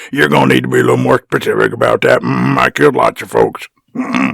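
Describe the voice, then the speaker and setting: A man puts on a raspy character voice and races along at a very fast pace, the sound dry and close with no echo. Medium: comedy sketch. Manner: mumbling, punctuated by "mm-hmm" grunts.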